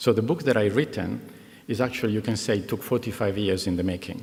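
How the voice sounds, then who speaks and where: A man with an Italian accent speaks in a fairly low pitch with ordinary variation. Noticeable background noise runs underneath. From Italy, Milan. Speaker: executive, commencement speaker. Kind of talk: commencement speech. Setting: graduation ceremony with audience. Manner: hesitant, many fillers.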